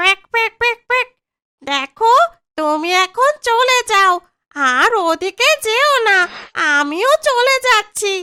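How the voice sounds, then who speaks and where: The speaker puts on a cartoonish character voice. Every word comes out very slowly. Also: woman, extremely high pitch for a woman. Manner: quacking interjections.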